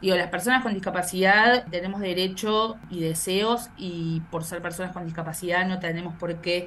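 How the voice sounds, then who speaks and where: Speaking at a moderate pace and fairly low pitch, a woman is heard with noticeable background noise and audible room echo. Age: 30s. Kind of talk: interview. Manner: halting, many repetitions.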